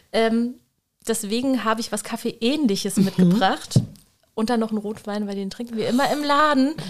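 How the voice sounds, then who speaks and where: A woman has an unremarkable speaking voice with fairly high pitch. She talks at a moderate pace with ordinary pitch variation. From Germany. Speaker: bookshop owner. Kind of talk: casual chat.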